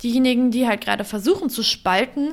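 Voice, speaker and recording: A woman in a plain, everyday voice, fairly high in pitch with ordinary pitch variation, at a moderate pace on a very clean recording with a silent background. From Germany, Upper Harz (Lower Saxony). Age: 20s. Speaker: youth politics leader and trade union secretary. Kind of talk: interview.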